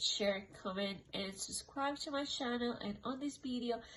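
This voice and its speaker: Slowly, at a fairly slow pace, a woman with a non-native accent talks in a high voice with ordinary pitch variation. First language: not English. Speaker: tarot card reader. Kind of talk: tarot reading monologue. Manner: casual, filler-heavy.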